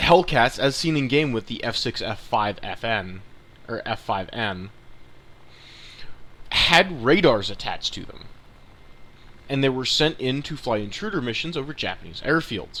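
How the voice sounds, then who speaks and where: With lively intonation and a bright, sharp tone, a man speaks at a medium pitch and a moderate pace, leaving long, frequent pauses. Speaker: gaming YouTuber. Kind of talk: gameplay commentary. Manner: halting, self-correcting; casual.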